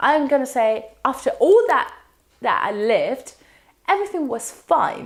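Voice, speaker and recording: With very wide pitch swings, a woman talks fairly slowly. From Spain. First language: Spanish. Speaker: university student. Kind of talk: casual talk to camera.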